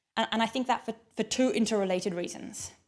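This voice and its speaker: This woman talks at a fairly quick pace with an Australian accent. Her pitch is medium, with ordinary variation. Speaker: keynote speaker on climate finance. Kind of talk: conference keynote talk.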